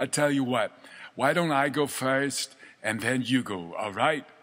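The man's tone is bright and sharp. His voice sits at a medium pitch. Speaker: host reading poem aloud. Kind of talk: poet reading, halting French then English translation; casual chat, promo. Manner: theatrical, hesitant, stumbling over French; casual, jovial, chatty.

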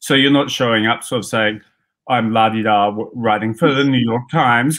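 A man at a fairly slow pace, ordinary pitch variation, and a quiet background. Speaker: guest. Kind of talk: interview answer. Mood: relaxed, amused. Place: home room.

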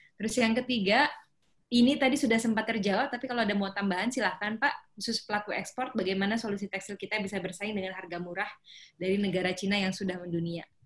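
A woman at a very fast pace with ordinary pitch variation. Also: quiet background. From North Sumatra. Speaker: webinar moderator. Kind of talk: webinar moderation. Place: home room. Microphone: video call.

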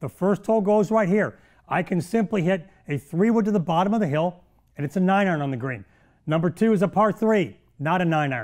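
Against a quiet background, a man with an American accent talks in an animated tone at a high pitch. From US Midwest (Belleville, Illinois); Illinois. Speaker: golf instructor and TV show host; golf instructor, TV show host. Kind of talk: golf instruction tutorial. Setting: studio. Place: studio. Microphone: lapel.

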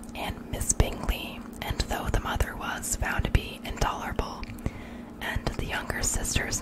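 Over loud background noise, a soft-spoken woman whispers at a fairly slow pace. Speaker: bedtime reader. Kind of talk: soft-spoken ASMR reading. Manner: soft close-mic whispered reading. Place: home room. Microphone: studio mic.

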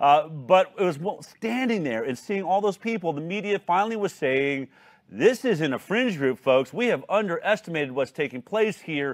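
A man talks at a moderate pace in a high voice with very wide pitch swings. The background is quiet. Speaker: talk show host. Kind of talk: hosted news talk show. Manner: animated. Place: studio. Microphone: lapel.

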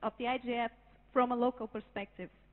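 A woman with a Portuguese accent speaks at a moderate pace in a high pitch, keeping her intonation fairly even. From Brazil. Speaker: conference participant speaking for a working group. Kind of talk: prepared statement at a conference. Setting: conference hall with audience. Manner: halting, repeats words at times. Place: hall. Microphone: handheld.

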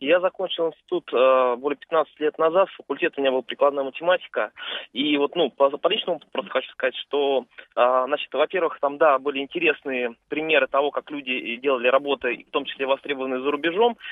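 At a fairly quick pace, a man with an unremarkable speaking voice and a fairly high pitch talks with ordinary pitch variation. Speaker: radio caller. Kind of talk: call-in comment. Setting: phone call.

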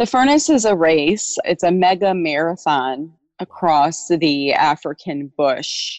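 With a Midwestern American accent, a woman speaks at a very slow pace, her pitch fairly low and her loudness very even. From Illinois, US Midwest. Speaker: actress. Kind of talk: interview. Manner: animated.

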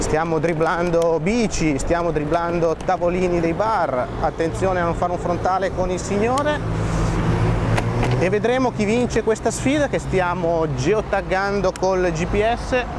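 A man speaks in a high pitch with ordinary pitch variation. The sound is dry with no echo, against noticeable background noise. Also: fairly slow pace. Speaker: presenter. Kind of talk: commentary. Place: bicycle. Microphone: phone near.

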